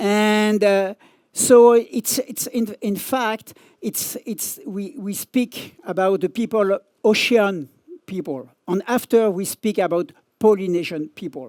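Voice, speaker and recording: In a French accent, the speaker goes very slowly with ordinary pitch variation, and the sound is dry and close with no echo. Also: man, high pitch for a man. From France. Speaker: surf journalist and magazine editor. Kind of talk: conference talk. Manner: halting.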